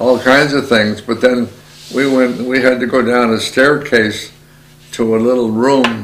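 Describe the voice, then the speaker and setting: A man's medium-pitched, monotone, flat delivery at a fairly slow pace, over noticeable background noise. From Aegean Macedonia. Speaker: Macedonian immigrant to Canada. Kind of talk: oral history interview answer.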